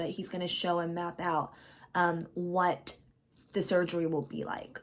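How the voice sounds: A woman does a put-on character voice, hoarse and raspy, at a fairly low pitch. She keeps a moderate pace and fairly even intonation.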